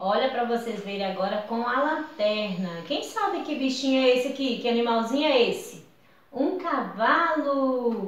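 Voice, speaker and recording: A woman speaks with lively intonation, her voice carrying audible room echo. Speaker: teacher. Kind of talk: craft tutorial for children. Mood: warm, cheerful. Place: home room. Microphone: camera far.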